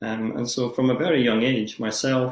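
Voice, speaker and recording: With a Scottish accent, a man talks at a moderate pace with fairly even intonation. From Scotland, Edinburgh area. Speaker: society chair, yoga teacher. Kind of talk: podcast interview. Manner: hesitant with many fillers.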